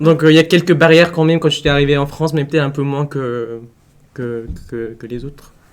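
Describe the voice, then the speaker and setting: A man's fairly high voice at a fairly quick pace, with big swings in loudness and fairly even intonation. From Vietnam. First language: Vietnamese (speaking French). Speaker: international student. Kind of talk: casual chat. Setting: live stream.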